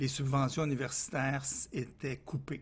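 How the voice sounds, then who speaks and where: Somewhat breathy, a man in a Quebec accent speaks at a fairly high pitch. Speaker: consultant. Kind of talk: interview.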